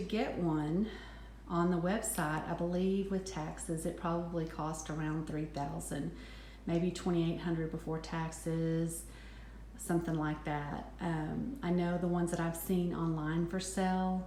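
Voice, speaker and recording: A woman speaks with a slight West Texas accent at a fairly low pitch, her intonation fairly even, with noticeable background noise and audible room echo. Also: moderate pace. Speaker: handbag reviewer, vlogger. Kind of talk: product review. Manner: hesitant, many ums.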